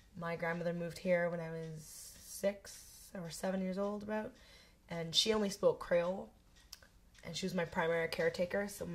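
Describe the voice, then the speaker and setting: A woman's fairly low, somewhat breathy voice in a Canadian accent, at a moderate pace with monotone, flat intonation. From Canada. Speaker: interviewee. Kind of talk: interview testimony.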